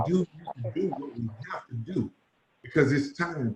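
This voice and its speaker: Lively intonation and an animated tone from a man with a fairly high, somewhat breathy voice at a moderate pace. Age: 40s. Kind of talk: panel discussion.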